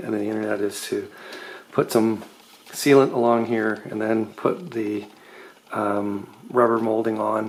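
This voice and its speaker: A man talks in a fairly low, flat, monotone voice. Noticeable background noise is present. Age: middle-aged. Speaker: car restoration hobbyist. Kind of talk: DIY tutorial walkthrough. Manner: casual, many fillers.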